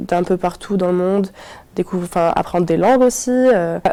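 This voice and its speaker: A woman speaks in a dark, mellow tone. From Morocco. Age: 20s. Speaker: university student. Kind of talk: testimony. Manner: hesitant, many fillers.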